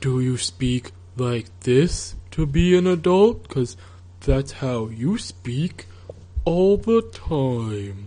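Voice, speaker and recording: A man puts on a character voice at medium pitch and a very slow pace. Light background noise can be heard. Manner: droning, mopey, monotone.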